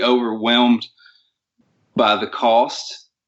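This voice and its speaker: A man with a Southern accent speaks at a medium pitch. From US South. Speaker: hunter. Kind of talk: interview.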